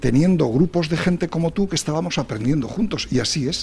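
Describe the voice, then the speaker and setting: A man speaks in a somewhat breathy voice. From Spain. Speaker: quality association president and engineer. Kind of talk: radio interview.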